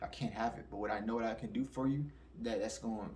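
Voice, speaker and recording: A man's very fast speech with audible room echo. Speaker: spirituality commentator. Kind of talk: casual monologue.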